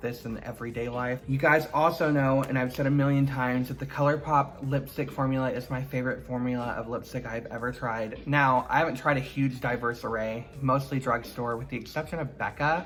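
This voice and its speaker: Somewhat rapid talking against clearly audible background noise. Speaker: beauty YouTuber. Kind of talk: product review. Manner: casual, chatty.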